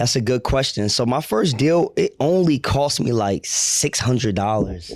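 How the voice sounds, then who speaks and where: With an American accent, a man has an ordinary speaking voice, medium in pitch and very even in loudness. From New Jersey shore, Ocean County. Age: 30s. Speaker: real estate investor. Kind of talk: interview. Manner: casual.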